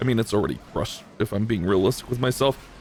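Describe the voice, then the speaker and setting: A man with an animated tone at a very fast pace, music in the background. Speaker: gaming youtuber. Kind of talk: live gameplay commentary.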